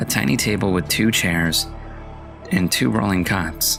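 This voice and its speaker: A man speaks in a very deep, low voice with ordinary pitch variation. Music plays in the background. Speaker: voice-over narrator. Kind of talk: horror story reading.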